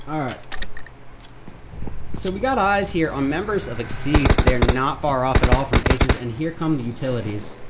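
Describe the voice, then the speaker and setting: The speech has long, frequent pauses, with noticeable background noise behind it. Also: moderate pace. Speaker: esports caster. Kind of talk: live commentary. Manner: loud; animated. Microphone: poor comms, has to speak closer to mic.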